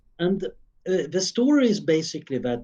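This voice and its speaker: A man with a Swedish accent and very wide pitch swings. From Sweden, Stockholm suburb. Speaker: futurist researcher. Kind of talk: interview.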